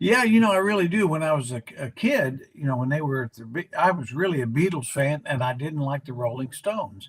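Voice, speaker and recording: A man with a fairly high pitch speaks at a fairly quick pace, somewhat breathy, his pitch swinging very widely. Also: hardly any pauses. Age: 80s+. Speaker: basketball analyst, former team executive. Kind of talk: casual chat. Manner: halting, many fillers.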